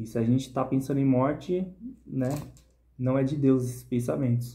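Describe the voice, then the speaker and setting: This man's voice has a dark, mellow tone and is somewhat breathy. He talks at a moderate pace. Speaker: bible reflection vlogger. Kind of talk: Bible reading and reflection. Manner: casual, informal. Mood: earnest, personal. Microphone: phone near.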